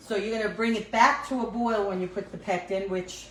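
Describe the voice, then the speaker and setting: Over noticeable background noise, a woman with a New York accent speaks at a medium pitch. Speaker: cooking vlogger. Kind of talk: casual cooking tutorial. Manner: chatty, casual with fillers.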